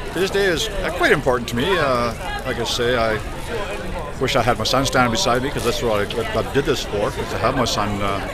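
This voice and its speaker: A man talks at a very fast pace over loud background noise, the sound itself dry with no echo. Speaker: automotive service technician. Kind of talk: interview answer. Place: street. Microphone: phone near.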